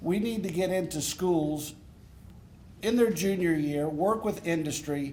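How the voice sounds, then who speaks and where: A man's fairly high, dark, mellow voice with ordinary pitch variation and audible room echo. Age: 60s. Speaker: congressional candidate. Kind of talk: campaign speech at candidate forum. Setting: forum with live audience.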